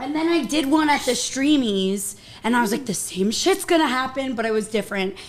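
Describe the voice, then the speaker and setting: Speaking loudly at a fairly quick pace, a woman uses a high pitch and lively intonation. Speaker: social media influencer doing makeup. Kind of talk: casual chat on livestream.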